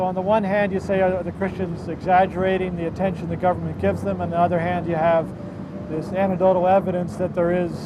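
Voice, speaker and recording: Amid noticeable background noise and audible room echo, a man with an American accent talks fast in a high, monotone voice with flat intonation. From United States. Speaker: pastor. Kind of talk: lecture to a tour group.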